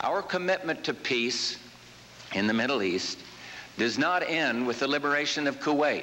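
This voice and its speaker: With an American accent, a man talks at a moderate pace in an ordinary speaking voice, fairly high-pitched, with lively intonation and very even loudness. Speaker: US president. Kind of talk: political speech.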